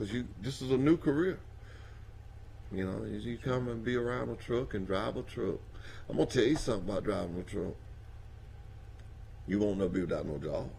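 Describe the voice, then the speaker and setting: In a Southern US accent with vocal fry and lively intonation, the speaker moves at a fairly quick pace broken by long, frequent pauses, with audible room echo. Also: man, fairly low pitch for a man. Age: 60s. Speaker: trucking industry speaker. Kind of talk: casual talk show conversation. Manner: animated.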